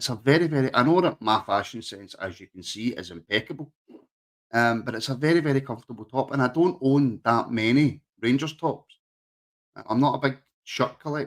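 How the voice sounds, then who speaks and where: A man in a Glaswegian accent at a medium pitch, with ordinary pitch variation and a fairly quick pace. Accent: Glaswegian Scottish. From Scotland, Glasgow area (Rutherglen). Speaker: podcast host. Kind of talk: casual chat. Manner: halting, many fillers.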